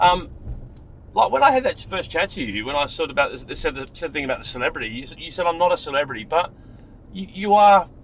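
A man with an Australian accent talks at a very fast pace in a high voice. His pitch swings very widely, and his loudness swings a lot too. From Wollongong, Australia. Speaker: rideshare driver and podcast host. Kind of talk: casual chat. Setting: in a car.

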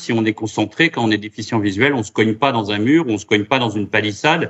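A man speaks in a normal speaking voice at a fairly low pitch with ordinary pitch variation. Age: 50s. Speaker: round-table moderator, association president. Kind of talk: round-table moderation.

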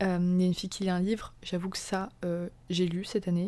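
At a moderate pace, a woman speaks at medium pitch with a dark, mellow tone. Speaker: podcast host. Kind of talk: casual monologue. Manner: animated; stumbling.

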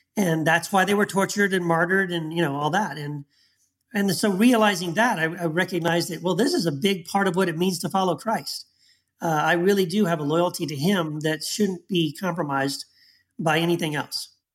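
A man with an American accent, high pitch and fairly even intonation, on a very clean recording with a silent background. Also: fairly quick pace. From Texas. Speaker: author and former pastor. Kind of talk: interview.

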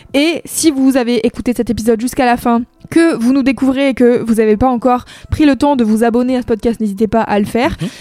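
Music runs behind a high-pitched woman speaking at a fairly quick pace. Her loudness stays very even. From France, Saint-Nazaire. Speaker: music podcast co-host. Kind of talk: casual chat. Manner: animated.

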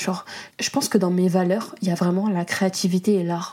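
With a medium pitch, this woman's voice carries a dark, mellow tone. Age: 20s. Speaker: podcaster and content creator. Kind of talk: casual monologue. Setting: home studio. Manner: animated.

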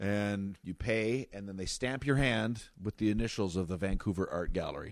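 With a Canadian accent, a man speaks at a moderate pace in an ordinary speaking voice, his pitch fairly low and its variation ordinary, on a very clean recording with a silent background. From northern Ontario, Wawa. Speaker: stand-up comedian. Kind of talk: casual chat. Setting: host's home.

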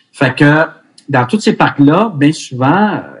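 This man's voice is somewhat breathy and fairly high-pitched. His intonation is lively. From Quebec, Montreal (Ville Mont-Royal). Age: 50s. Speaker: hockey goaltending coach. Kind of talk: casual interview.

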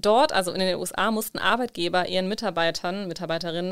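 A woman with an unremarkable speaking voice talks at a medium pitch. Her pitch shows ordinary variation. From Germany. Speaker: podcast co-host. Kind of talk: casual chat.

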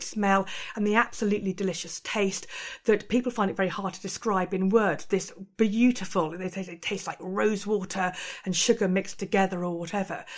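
Moving at a fairly quick pace is an unremarkable speaking voice. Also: woman. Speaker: museum curator. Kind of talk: interview.

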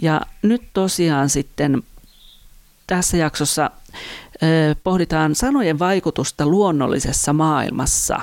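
In a very clean recording with a silent background, a woman speaks with a very deep, low pitch and ordinary pitch variation. Her pace is very slow, with long, frequent pauses and very even loudness. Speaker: podcast host, church worker. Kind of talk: devotional teaching monologue.

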